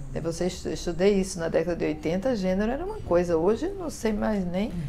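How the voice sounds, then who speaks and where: Against noticeable background noise and audible room echo, a woman talks very fast. Her medium-pitched voice has lively intonation. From Northeast Brazil, Paraíba. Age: 60s. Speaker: writer and literature professor. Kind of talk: interview. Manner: hesitant, many fillers.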